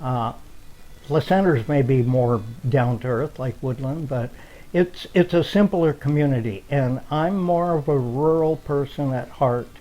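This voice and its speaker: With an American accent, a man speaks at a fairly slow pace in a dark, mellow tone, his fairly high pitch showing ordinary variation. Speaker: local elder interviewee. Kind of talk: documentary interview.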